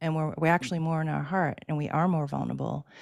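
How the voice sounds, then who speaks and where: Recorded very cleanly against a silent background, a woman with a fairly low pitch speaks in an American accent. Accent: Boston accent, slips out. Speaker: spiritual energy healer. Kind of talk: conversational panel talk.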